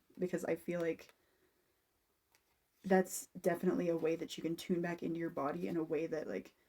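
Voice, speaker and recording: The voice has a dark, mellow tone with vocal fry. It moves at a fairly quick pace between long, frequent pauses. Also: woman. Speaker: tarot and aura reader. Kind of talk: personal reading recorded for a client. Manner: animated.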